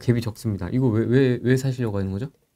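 Talking at a very fast pace, a woman gets the words out in a rush. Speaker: YouTube host; channel host interviewer. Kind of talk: casual interview. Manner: laughs often. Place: studio.

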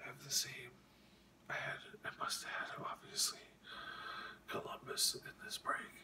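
Someone whispers at a fairly slow pace. Long pauses come often. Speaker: hockey card collector and ASMR whisperer. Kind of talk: casual talk to camera, card showing. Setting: late night, home recording. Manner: whispered, soft-spoken. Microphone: phone near.

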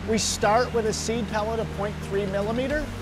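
A man with a high-pitched voice talks while music plays in the background. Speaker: presenter. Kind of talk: explanatory site tour. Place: factory. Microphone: lapel.

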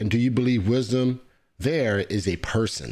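A man with a normal speaking voice talks at a moderate pace with ordinary pitch variation against a quiet background. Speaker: podcast host. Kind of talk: interview; livestream interview host reading viewer questions. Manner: casual, filler-heavy. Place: studio. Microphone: studio mic.

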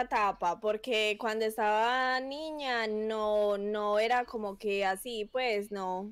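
At a very slow pace, a woman talks in a fairly high pitch that varies in an ordinary way. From Colombia. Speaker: competitive gamer. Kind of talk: casual chat. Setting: video call. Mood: relaxed, friendly. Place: home room. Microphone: headset.

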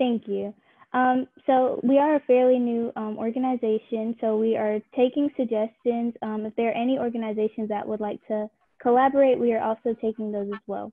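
With monotone, flat intonation, a woman talks at a moderate pace. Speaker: presenter. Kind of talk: presentation. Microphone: video call.

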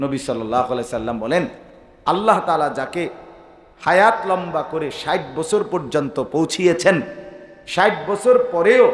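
Over audible room echo, a man speaks with a high pitch and very wide pitch swings. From Bangladesh. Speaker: Islamic preacher. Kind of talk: sermon. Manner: animated. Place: stage. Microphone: podium.

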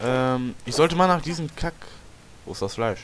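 A man talks at a fairly slow pace, with noticeable background noise underneath. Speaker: gaming video creator. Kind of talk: let's play commentary. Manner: quiet at times; animated, exclamatory.

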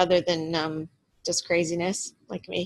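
Speaking fairly slowly, a woman uses a fairly low pitch and a fairly bright tone. Her intonation is monotone and flat.

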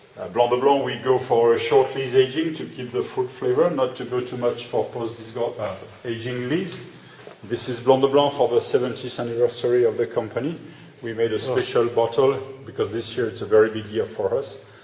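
The speaker talks at a fairly quick pace over light background noise, with audible room echo. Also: man. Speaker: winemaker cellar guide. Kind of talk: guided tour explanation. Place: tunnel cave. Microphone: camera far.

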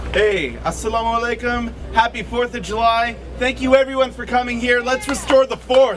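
Over light background noise, a man talks at a moderate pace with hardly any pauses. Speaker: rally speaker for a civil rights group. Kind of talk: rally speech. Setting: outdoor rally with crowd. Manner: impassioned, emphatic. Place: street. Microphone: podium.

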